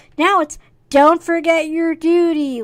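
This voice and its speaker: Extremely high pitch marks this put-on character voice. Its pace is fairly slow. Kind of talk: stern.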